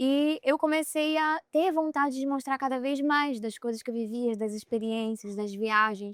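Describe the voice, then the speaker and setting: A soft-spoken woman with a high pitch and ordinary pitch variation is heard in a dry, close recording with no echo. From Brazil, Pará (Belém). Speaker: content creator and influencer. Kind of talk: podcast interview. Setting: outdoors on a boat at sea.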